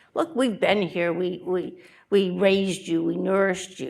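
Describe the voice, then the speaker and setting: A female-sounding, booming put-on character voice speaks at a medium pitch and moderate pace. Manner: commanding, lecturing.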